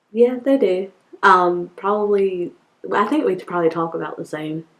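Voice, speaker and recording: Speaking with a North Carolina accent, a woman at a medium pitch keeps a moderate pace, with ordinary pitch variation and big swings in loudness. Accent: Southern US, North Carolina. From North Carolina, Bowie's Creek. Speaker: interviewee. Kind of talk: interview answers.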